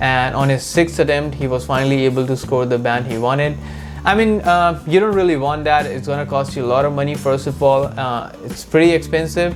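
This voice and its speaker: Over music in the background and audible room echo, a man with a non-native accent speaks at a fairly high pitch and fairly quick pace, with ordinary pitch variation. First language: not English. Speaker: immigration vlogger. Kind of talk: casual advice talk. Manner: conversational with fillers.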